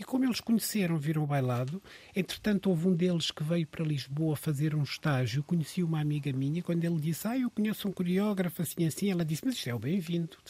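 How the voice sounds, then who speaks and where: A man talks very fast with hardly any pauses, using lively intonation and a high pitch. His tone is dark and mellow, and the sound is dry and close with no echo. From Mozambique. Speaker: dancer and choreographer. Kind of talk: casual chat.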